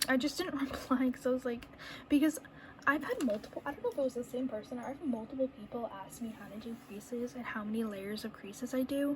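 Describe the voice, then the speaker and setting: A woman's high-pitched voice at a very fast pace, with noticeable background noise. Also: ordinary pitch variation. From New England. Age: 20s. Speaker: reborn doll artist. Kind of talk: casual talk to camera while painting. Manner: chatty, rambling.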